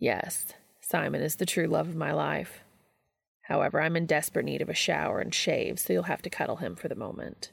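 A woman does a put-on character voice with a raspy sound. She speaks at a fairly quick pace. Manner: precise, formal, dry.

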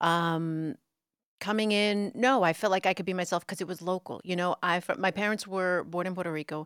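A woman's medium-pitched voice in an American accent, dry and close with no echo, on a very clean recording with a silent background. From New York City (Brooklyn), later New Jersey. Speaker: TV news anchor. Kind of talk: casual interview chat. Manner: bubbly.

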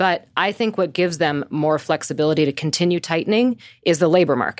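Recorded very cleanly with a silent background and a dry, close sound with no echo, a woman speaks in a normal speaking voice with an American accent, fairly low pitch, ordinary pitch variation and a fairly quick pace. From US Midwest. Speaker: market strategist. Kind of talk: casual chat.

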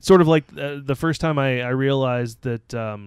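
A man's medium-pitched voice with ordinary pitch variation, in a dry, close sound with no echo. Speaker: podcast co-host. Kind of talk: casual banter. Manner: sarcastic, joking.

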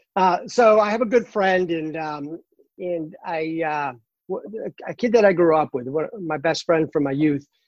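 The speech has a Boston accent. It moves at a fairly slow pace. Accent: Boston accent, dropped R's. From Boston, Massachusetts. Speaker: cancer patient, runner. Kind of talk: casual interview. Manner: animated, uses hands when excited.

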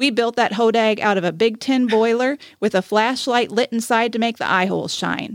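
A woman speaks in an unremarkable speaking voice with a fairly high pitch. Her intonation is fairly even at a moderate pace, and the sound is dry and close with no echo. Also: very clean recording, silent background. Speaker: podcast co-host. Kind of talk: reading aloud a tall-tale story, folk narration with character dialogue. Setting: studio. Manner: warm, friendly, conversational.

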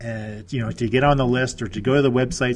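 A man with a Canadian accent and a plain, everyday voice speaks at a medium pitch. His pace is fairly quick, with ordinary pitch variation. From Nova Scotia, Canada. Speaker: real estate investor and business consultant. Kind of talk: interview.

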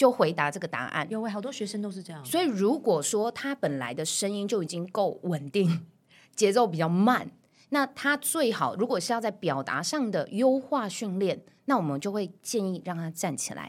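On a very clean recording with a silent background, a woman of medium pitch speaks at a moderate pace, her pitch swinging very widely and her loudness shifting in big swings. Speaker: voice coach. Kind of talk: interview. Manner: clear articulation.

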